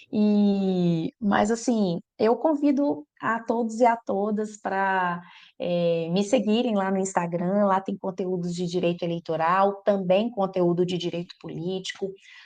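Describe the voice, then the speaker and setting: With a strong Minas Gerais accent, a woman talks at a very slow pace with hardly any pauses, medium pitch and ordinary pitch variation against a quiet background. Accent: strong Minas Gerais (mineiro). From Minas Gerais, Brazil. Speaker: electoral law professor. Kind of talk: podcast interview.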